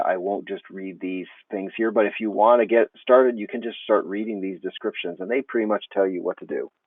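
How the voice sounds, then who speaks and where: A man with an American accent speaks in a plain, everyday voice, fairly low-pitched with fairly even intonation, the sound dry with no echo against a quiet background. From United States. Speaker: teacher trainer; teacher explaining course tools. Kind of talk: tutorial. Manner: casual, with fillers.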